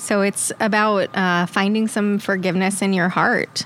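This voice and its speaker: Against noticeable background noise, a woman speaks at medium pitch and a fairly slow pace with fairly even intonation. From Long Island, New York. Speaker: podcast guest. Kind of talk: casual chat.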